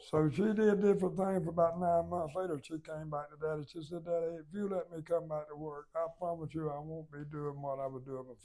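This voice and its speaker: A man with a Southern US accent, fairly high-pitched with a dark, mellow tone, talking at a fairly quick pace with hardly any pauses, fairly even intonation and big swings in loudness. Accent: Southern US (Georgia). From US South, Georgia (Baxley). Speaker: business founder. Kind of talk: oral history interview. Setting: company headquarters.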